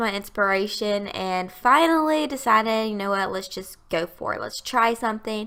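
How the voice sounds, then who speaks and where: A woman with a strong Southern US accent speaks at a fairly high pitch, her bright, sharp tone carrying ordinary pitch variation. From US South, Alabama. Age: 20s. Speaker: gaming youtuber. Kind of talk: voiceover commentary. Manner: casual, chatty.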